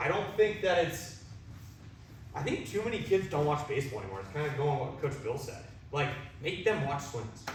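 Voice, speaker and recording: A man with an American accent speaks loudly and energetically at a moderate pace, his fairly high pitch making very wide swings. Audible room echo and noticeable background noise surround his voice. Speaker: baseball hitting coach. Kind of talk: coaching clinic talk.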